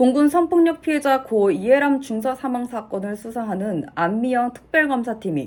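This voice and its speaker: Her fairly high voice sweeping through very wide pitch swings, a woman speaks at a moderate pace in a very clean recording with a silent background. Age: 20s. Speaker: aspiring news announcer. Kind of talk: news reading practice. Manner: formal.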